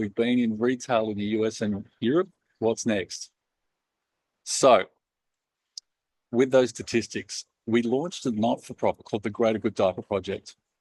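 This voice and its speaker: With an Australian accent, a man talks at a moderate pace and medium pitch, with ordinary pitch variation, long, frequent pauses, and a dry, close sound with no echo. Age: 40s. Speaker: company founder and CEO. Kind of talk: talk to a live audience. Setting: event with audience.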